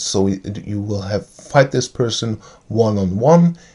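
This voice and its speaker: A man speaks with a German accent in a fairly low, dark and mellow voice. The background is quiet. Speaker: tabletop game video creator. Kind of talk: tutorial. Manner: halting, many fillers.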